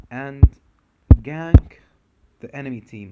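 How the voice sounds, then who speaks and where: A man with an Arabic accent talks at a very slow pace in a dark, mellow tone. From Egypt. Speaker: gaming video creator. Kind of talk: tutorial.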